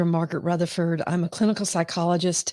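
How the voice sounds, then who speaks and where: A woman with an American accent and a fairly low pitch is heard in a dry, close sound with no echo. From US South. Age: 60s. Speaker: clinical psychologist. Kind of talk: live-stream talk. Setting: live video stream. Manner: hesitant, many fillers.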